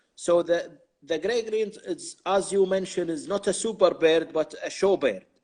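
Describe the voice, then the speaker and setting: A man with an Arabic accent and a high pitch speaks at a moderate pace with ordinary pitch variation. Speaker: interviewer and translator. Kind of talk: interview. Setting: live video stream.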